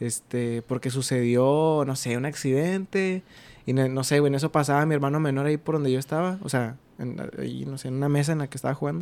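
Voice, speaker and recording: A man speaks in an ordinary speaking voice, fairly high in pitch, with ordinary pitch variation. His pace is fairly quick, and the recording is very clean with a silent background. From Mexico, Ciudad Acuña, Coahuila. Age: 20s. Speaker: podcast guest, radio host. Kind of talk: casual chat.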